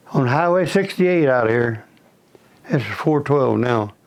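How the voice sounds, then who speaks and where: Speaking at a fairly slow pace with lively intonation and a fairly high pitch, a man is heard over noticeable background noise. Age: 90s. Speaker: oral history interviewee. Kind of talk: oral history interview.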